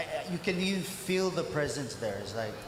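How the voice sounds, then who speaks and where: A man's high voice comes through at a moderate pace, with audible room echo and noticeable background noise around it. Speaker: pastor. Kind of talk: testimony. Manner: halting.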